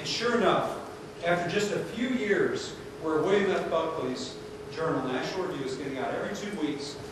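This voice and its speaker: Strong room echo and noticeable background noise surround this man. He speaks at a moderate pace with a high pitch. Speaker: lecturer. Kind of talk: lecture. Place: hall.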